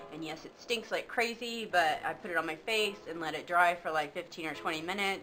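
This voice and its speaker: A woman's fairly low voice at a fairly quick pace, with hardly any pauses, ordinary pitch variation and big swings in loudness. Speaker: beauty vlogger. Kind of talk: casual product review. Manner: fast.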